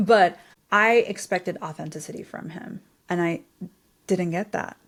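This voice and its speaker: A woman with a medium pitch speaks at a moderate pace with lively intonation and an animated tone. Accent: non-native. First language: not English. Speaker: podcast host. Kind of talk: podcast interview.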